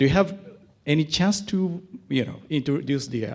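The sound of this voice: With lively intonation, a man talks at a medium pitch in a slightly mellow tone.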